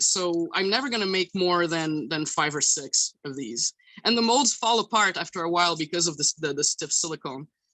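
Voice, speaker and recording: A woman's fairly low voice in a Quebec accent, moderate in pace with hardly any pauses. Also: lively intonation. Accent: French-Canadian accent in English. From Quebec, Canada.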